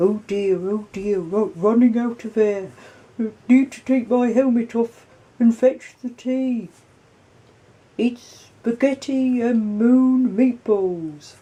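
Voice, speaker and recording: A woman puts on a character voice. She talks very slowly at a fairly high pitch. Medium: read story.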